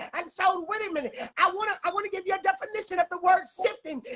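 Raised and projected, a woman's extremely high voice sounds bright, sharp and animated, with ordinary pitch variation against a quiet background. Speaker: prophetess guest preacher. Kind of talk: sermon / prophetic preaching in full flow. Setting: live social media video stream. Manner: animated, fervent, exhorting with call-and-response. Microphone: phone near.

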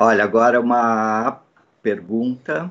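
Very slowly, a man talks over a quiet background. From Brazil, São Paulo (Southeast). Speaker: press conference moderator. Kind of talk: press conference question. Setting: online press conference. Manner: halting, many fillers. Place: home room. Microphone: video call.

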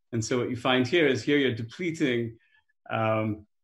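Audible room echo surrounds the man as he speaks.

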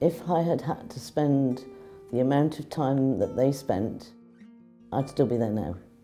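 Faint music sits behind a woman speaking at a very deep, low pitch. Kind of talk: interview answer. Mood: warm, proud. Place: office. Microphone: lapel.

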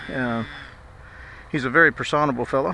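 Delivered at a fairly quick pace with ordinary pitch variation, the speech has a dry sound with no echo and light background noise. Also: man. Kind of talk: casual vlog chat. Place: open country. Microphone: phone near.

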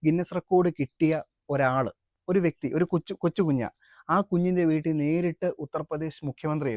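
A man with a plain, everyday voice speaks at a fairly high pitch with fairly even intonation, his loudness swinging widely in a dry, close sound with no echo. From Kerala, Adoor (Pathanamthitta). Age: 20s. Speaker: world record holder and activist. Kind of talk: interview.

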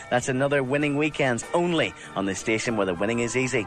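A man talks with lively intonation. There is music behind him. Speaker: radio DJ. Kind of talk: radio DJ links. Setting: radio studio. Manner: upbeat, chatty.

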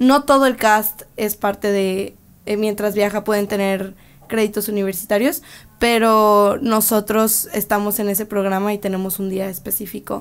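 Intonation stays fairly even as the woman talks at a fairly slow pace. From Mexico, Guadalajara; Jalisco, Mexico. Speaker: touring performer and interpreter; interviewee. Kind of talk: interview answers and interpreting. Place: studio. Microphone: podium.

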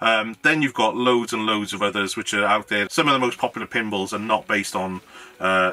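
A man speaks at a very fast pace, his pitch fairly low with ordinary variation. Faint music plays in the background. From Wales. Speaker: YouTuber, hobbyist maker; YouTuber. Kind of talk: casual vlog talk to camera. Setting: home garage. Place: home room.

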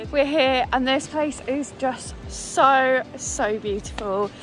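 A woman speaks very slowly in a high pitch with ordinary pitch variation. The sound is dry with no echo, and music plays clearly in the background. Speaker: outdoor vlogger. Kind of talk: casual vlog chat. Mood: delighted, relaxed. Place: waterside. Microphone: phone near.

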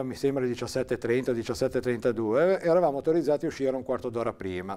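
A man's very fast delivery, dark and mellow in tone, with lively intonation. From Liguria, Italy. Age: 60s. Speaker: interviewee recalling local history; interviewee. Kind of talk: oral history interview. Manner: halting, with fillers. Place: studio.

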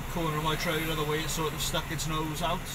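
A man speaks against loud background noise. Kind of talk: casual vlog commentary. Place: car. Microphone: phone near.

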